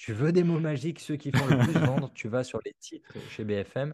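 A man's dark, mellow tone at medium pitch with ordinary pitch variation, a fairly slow pace, and a quiet background. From Alsace, France. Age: 30s. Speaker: copywriter and trainer. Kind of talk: interview podcast.

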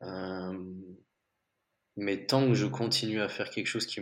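A very clean recording with a silent background, a man talking fairly slowly in a fairly low voice. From Belgium. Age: 20s. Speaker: entrepreneur. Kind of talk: interview.

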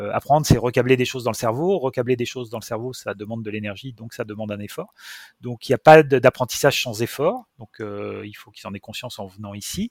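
This man speaks very fast at a medium pitch, with ordinary pitch variation and big swings in loudness. The sound is dry and close, with no echo. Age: 50s. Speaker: founder of a software school. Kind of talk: interview. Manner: hesitant, with frequent repetitions.

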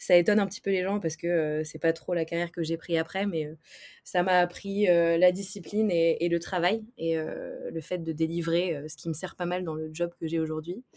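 At a moderate pace, a woman speaks in a fairly low voice with monotone, flat intonation. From Brittany, France (Brest). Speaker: startup ecosystem executive. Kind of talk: interview.

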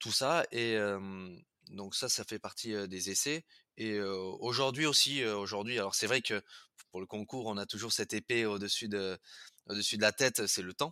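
A man's bright, sharp voice, fairly low in pitch with ordinary pitch variation, dry and close with no echo. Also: moderate pace. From French Basque Country. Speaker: pastry chef. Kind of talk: interview. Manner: halting.

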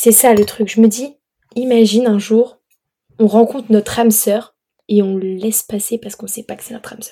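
This woman has a fairly high pitch and a dark, mellow tone, delivered in a monotone, flat intonation at a moderate pace. Her loudness swings widely, and she leaves long, frequent pauses. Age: 20s. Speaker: podcast host. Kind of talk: casual chat. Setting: late-night recording.

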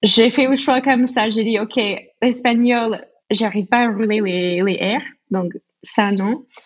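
At a very slow pace, a woman speaks with long, frequent pauses and fairly even intonation. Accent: American. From United States. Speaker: business owner, language training. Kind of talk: casual interview. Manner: hesitant, many fillers.

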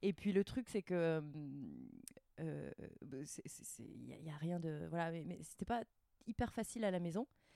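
A woman's fairly low, dark and mellow voice at a fairly slow pace, with ordinary pitch variation, long, frequent pauses and a dry, close sound with no echo. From Normandy, France. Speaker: shop owner. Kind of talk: casual chat. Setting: tiny house. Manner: talkative.

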